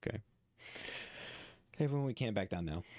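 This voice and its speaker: Putting on a character voice, a man talks very fast in a strained, fairly low tone. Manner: strained, struggling against a gloomy mood.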